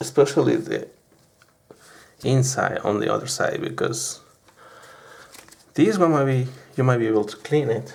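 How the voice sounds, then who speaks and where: Someone with a non-native accent speaks at a moderate pace. Long pauses come often. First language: not English. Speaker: hobbyist camera repairer. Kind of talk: unedited tutorial. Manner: halting.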